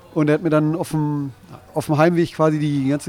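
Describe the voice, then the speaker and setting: A man speaks against noticeable background noise. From Ruhr area, Bochum. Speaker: livestream interviewer. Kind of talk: casual interview. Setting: live stream.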